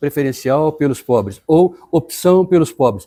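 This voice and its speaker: A dark, mellow tone with lively intonation. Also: man. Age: 60s. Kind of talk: personal reflection talk. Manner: halting, with many fillers.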